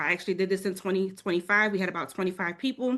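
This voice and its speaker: A woman speaks with a New Orleans accent and ordinary pitch variation. The background is quiet. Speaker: travel advisor. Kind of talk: webinar presentation.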